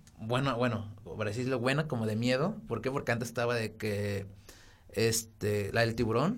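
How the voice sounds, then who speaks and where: With fairly even intonation, a man speaks in a space with audible room echo. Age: 20s. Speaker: architect, podcast co-host. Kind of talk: casual chat.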